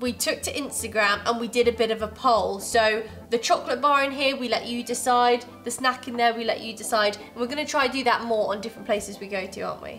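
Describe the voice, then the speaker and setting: A woman talks at a very fast pace with fairly even intonation. Faint music plays in the background. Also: hardly any pauses. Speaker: co-host. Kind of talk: casual vlog chat. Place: home room. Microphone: lapel.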